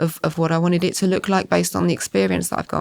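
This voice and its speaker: With an Essex accent, a woman talks very fast at a fairly low pitch. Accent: southern English, Essex twang. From Essex, southern England. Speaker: school estates manager. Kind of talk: podcast interview. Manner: hesitant, many fillers.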